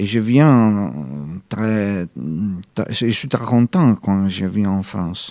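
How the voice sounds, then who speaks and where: A man with an Italian accent speaks very slowly, with long, frequent pauses. His fairly low voice has a dark, mellow tone and ordinary pitch variation. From Italy. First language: Italian (speaking French). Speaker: novelist and journalist. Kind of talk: radio interview. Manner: halting.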